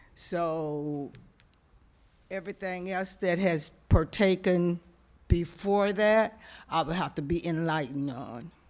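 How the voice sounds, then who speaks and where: Someone with an American accent speaks at a very slow pace with long, frequent pauses, on a very clean recording with a silent background. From US South, Florida. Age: 70s. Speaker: board applicant, respiratory therapist. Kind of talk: public comment at council meeting.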